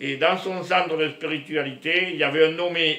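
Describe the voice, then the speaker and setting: Through audible room echo, a man with a fairly high pitch speaks at a fairly slow pace in a monotone, flat intonation. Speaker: spiritual vlogger. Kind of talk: casual monologue to camera. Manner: loud.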